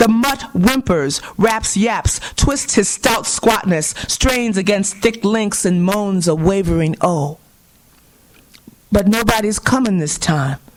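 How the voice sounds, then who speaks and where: Against noticeable background noise, a woman speaks at a very slow pace. Her voice is fairly high, with ordinary pitch variation. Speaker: poet. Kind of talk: poetry reading.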